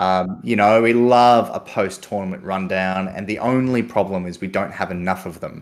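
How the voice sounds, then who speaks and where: At a moderate pace and with hardly any pauses, a man talks in a fairly low pitch with fairly even intonation. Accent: Australian. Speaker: podcast co-host and tabletop gamer. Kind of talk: casual chat.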